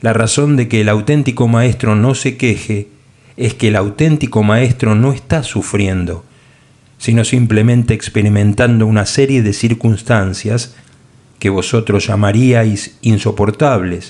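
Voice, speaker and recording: A man speaks at a fairly slow pace in a medium pitch, with fairly even intonation and very even loudness. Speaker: audiobook narrator. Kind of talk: audiobook narration. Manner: shifts tone between author and God voices.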